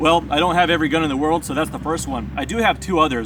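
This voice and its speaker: There is noticeable background noise behind the man who is speaking. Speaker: firearms reviewer. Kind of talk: product review. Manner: loud.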